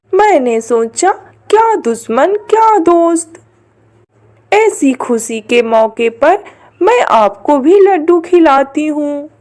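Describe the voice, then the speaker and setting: A female-sounding cartoonish character voice speaks at a high pitch. The delivery is at a very slow pace. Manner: scheming, theatrical.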